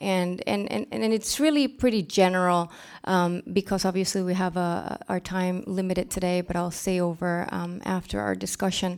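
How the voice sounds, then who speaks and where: At a moderate pace and with hardly any pauses, a woman talks in an unremarkable speaking voice of medium pitch with ordinary pitch variation, recorded very cleanly against a silent background. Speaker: global health policy advisor. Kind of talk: presentation with audience discussion. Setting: stage with audience.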